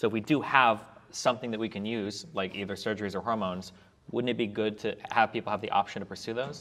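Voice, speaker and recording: Intonation stays fairly even as a man rushes through his words at a very fast pace. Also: fairly low pitch for a man. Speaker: debate panelist. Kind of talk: panel debate. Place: meeting room. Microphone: lapel.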